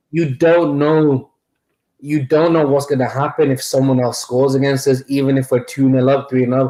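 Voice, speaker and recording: This voice, in a Mancunian accent, has a dark, mellow tone, monotone, flat intonation, very even loudness and a moderate pace. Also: man, fairly high pitch for a man. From Manchester. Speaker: football fan channel host. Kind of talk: casual chat.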